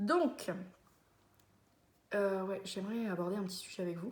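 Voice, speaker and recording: A somewhat breathy voice at a moderate pace, with ordinary pitch variation and audible room echo. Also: woman. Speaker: vlogger. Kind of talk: casual monologue to camera. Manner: hesitant, many fillers.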